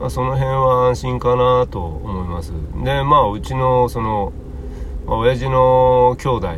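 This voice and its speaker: Noticeable background noise and audible room echo fill the recording. Through them, a man speaks fairly slowly. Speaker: podcast host. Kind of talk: solo casual talk. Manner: casual, rambling with fillers.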